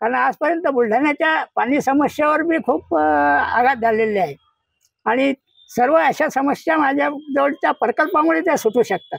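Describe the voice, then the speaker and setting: A man speaks at an extremely high pitch with lively intonation. His loudness stays very even, and the sound is dry and close with no echo. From Buldhana, Maharashtra. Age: 70s. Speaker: election candidate. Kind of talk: interview answer.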